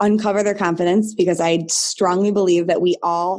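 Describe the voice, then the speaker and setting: At a fairly quick pace, a woman with a Midwestern American accent speaks in a medium pitch and a dark, mellow tone. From Michigan, US Midwest. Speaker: nutrition and business coach, former teacher. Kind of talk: casual interview chat. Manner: animated.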